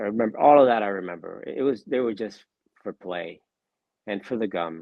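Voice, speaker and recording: An ordinary speaking voice comes through here. It moves at a fairly quick pace with ordinary pitch variation. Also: man, fairly low pitch for a man. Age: 60s. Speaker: card collector and part-time dealer. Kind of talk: interview.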